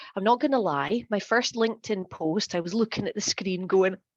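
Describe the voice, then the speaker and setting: A woman with an American accent speaks at a medium pitch and moderate pace with ordinary pitch variation, over a quiet background. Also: dry, close sound with no echo. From northeast Scotland, near Aberdeen. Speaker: LinkedIn content coach. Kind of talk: workshop presentation.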